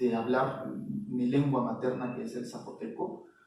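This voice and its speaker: A man speaks at a very slow pace. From Mexico, Oaxaca (Isthmus). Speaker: visual artist. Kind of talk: interview. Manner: hesitant, many fillers.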